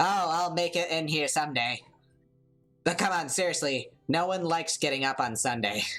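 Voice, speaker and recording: A put-on character voice at a middle pitch, fairly quick but broken by long, frequent pauses, with faint music in the background. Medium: game stream. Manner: sarcastic, flippant.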